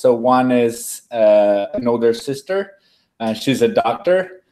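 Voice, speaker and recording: A man with a slight Brazilian accent, medium pitch, ordinary pitch variation and a dark, mellow tone. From Brazil, São Paulo. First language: Portuguese. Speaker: food design researcher. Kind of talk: webinar interview, self-introduction. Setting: live video webinar.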